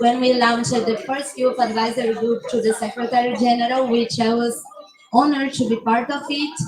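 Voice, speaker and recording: Over noticeable background noise, a woman talks loudly at a moderate pace, her high pitch held in fairly even intonation. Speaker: youth climate activist. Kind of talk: panel discussion. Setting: conference pavilion, livestream.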